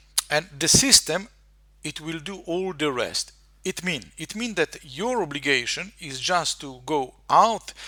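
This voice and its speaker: Speaking with a Slovenian accent, a man uses a high pitch, a bright, sharp tone and lively intonation at a fairly slow pace, with big swings in loudness. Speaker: marketer and hypnotist, software demonstrator. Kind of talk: screen-share tutorial. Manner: halting, many fillers and repetitions.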